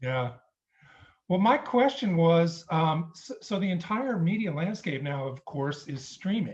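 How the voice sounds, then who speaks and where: Lively intonation marks this man's high-pitched voice as he talks at a fairly slow pace. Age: 50s. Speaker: viewer asking a question. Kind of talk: casual chat.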